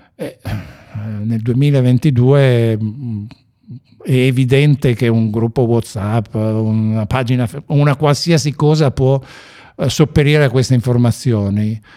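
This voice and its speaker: A very slow, dark and mellow voice with fairly even intonation and long, frequent pauses, on a very clean recording with a silent background. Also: man, medium pitch for a man. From Piedmont, Ivrea. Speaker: web project founder and former mountain guide. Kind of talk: interview. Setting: event. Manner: halting.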